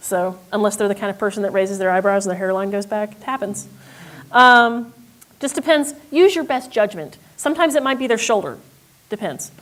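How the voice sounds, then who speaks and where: A woman's medium-pitched voice has lively intonation and big swings in loudness. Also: fairly quick pace. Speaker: software company representative giving a demo. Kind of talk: software demo talk. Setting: stage with audience. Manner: fast.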